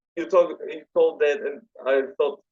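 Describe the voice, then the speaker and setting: The speaker is a man. He has a Polish accent. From Poland. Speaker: metal fan page admin. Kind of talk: podcast interview.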